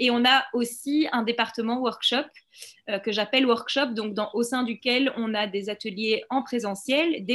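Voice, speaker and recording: A woman, in a normal speaking voice, keeps a fairly high pitch and fairly even intonation at a moderate pace. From Belgium. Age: 30s. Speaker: documentary filmmaker. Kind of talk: interview.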